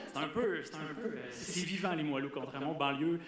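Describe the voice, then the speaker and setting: Noticeable background noise is present. There is also audible room echo. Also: man. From Quebec City area. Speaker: student performer. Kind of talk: stage banter. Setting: stage with audience.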